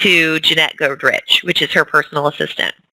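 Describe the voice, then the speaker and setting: The woman's tone is bright and sharp, recorded with a dry, close sound and no echo. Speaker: fitness coach team leader. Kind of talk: team training call.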